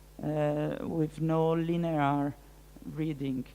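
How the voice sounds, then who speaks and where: With a French accent, a woman speaks. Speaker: art curator and researcher. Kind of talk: lecture Q&A. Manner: halting, many hesitations.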